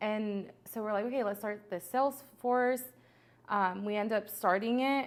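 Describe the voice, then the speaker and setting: The pace is moderate. A Spanish accent colors the speech. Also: woman. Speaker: entrepreneur. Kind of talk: podcast interview. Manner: animated.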